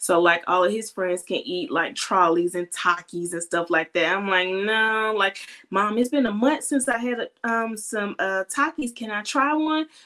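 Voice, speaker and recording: Her tone bright and sharp, a woman of medium pitch speaks at a moderate pace with lively intonation and hardly any pauses. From Atlanta, Georgia. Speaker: parenting podcast host. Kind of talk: casual interview.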